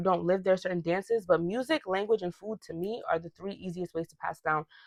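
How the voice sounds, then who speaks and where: Dry and close with no echo, a woman with an American accent talks at a fairly quick pace in an animated tone, at medium pitch with ordinary pitch variation. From US suburbs, Ghanaian family. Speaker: podcast host. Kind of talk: casual rant monologue.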